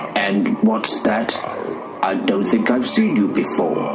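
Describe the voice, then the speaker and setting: A man speaks at a fairly slow pace in a put-on character voice over loud background noise. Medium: audio drama. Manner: formal, polite.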